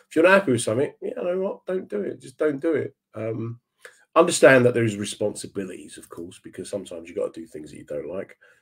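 A man speaks very fast with big swings in loudness over a quiet background. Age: 50s. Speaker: comedian and online radio host; comedian, online radio host. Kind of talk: casual chat. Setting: video call. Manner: animated. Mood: warm, reflective. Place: home room. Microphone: webcam.

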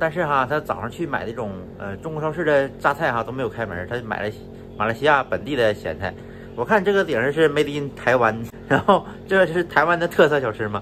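A man speaks at a fairly quick pace with a fairly high pitch and lively intonation. Music plays in the background. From northeast China. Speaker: travel and food vlogger. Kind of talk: casual solo vlog monologue. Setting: at home in Malaysia, lying down. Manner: casual, chatty, laughs often.

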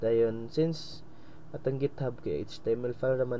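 A somewhat breathy man talks at a moderate pace with medium pitch and ordinary pitch variation. Room echo is audible. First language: Cebuano (speaking Tagalog). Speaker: coding tutorial presenter. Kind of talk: tutorial. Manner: halting, many fillers.

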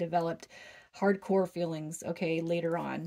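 In a quiet background, a woman talks at a fairly quick pace with a fairly low pitch, vocal fry and fairly even intonation. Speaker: tarot reader. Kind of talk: tarot reading commentary.

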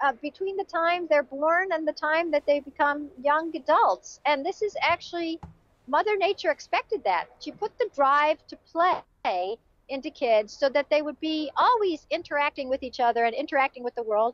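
A woman with an American accent speaks in a high pitch at a moderate pace. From US Midwest, suburbs of Chicago. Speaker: journalist and author. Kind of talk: interview conversation.

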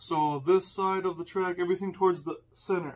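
A man speaks at a high pitch with fairly even intonation. His pace is fairly quick. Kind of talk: tutorial. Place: home room.

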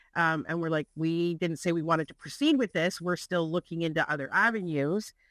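A woman with an ordinary speaking voice, fairly low in pitch, ordinary pitch variation, moderate pace, dry sound with no echo and a quiet background. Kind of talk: meeting discussion. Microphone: video call.

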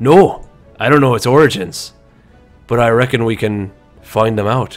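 Using a gruff put-on character voice at medium pitch, a man speaks at a moderate pace with faint music in the background.

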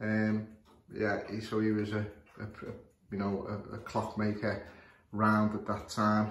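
A man with a Scouse accent speaks fairly slowly in a fairly low, monotone, flat voice, with long, frequent pauses. Audible room echo and light background noise fill the recording. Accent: Scouse (Liverpool English). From northern England, Liverpool. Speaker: clock repairer. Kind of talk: tutorial. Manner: halting, many fillers. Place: home room. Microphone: phone near.

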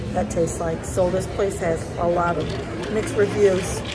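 There is clear music in the background. Over it, a woman talks. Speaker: food vlogger. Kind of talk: casual vlog chat. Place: bar. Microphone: phone near.

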